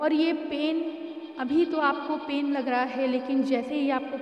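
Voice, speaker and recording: Amid noticeable background noise and audible room echo, a woman with a high pitch speaks with fairly even intonation. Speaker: spiritual healer. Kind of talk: spiritual channelled message.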